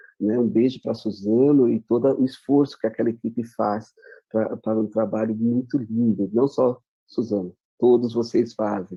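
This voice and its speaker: A man in a normal speaking voice, medium pitch, moderate pace, fairly even intonation. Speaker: education official. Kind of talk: presentation.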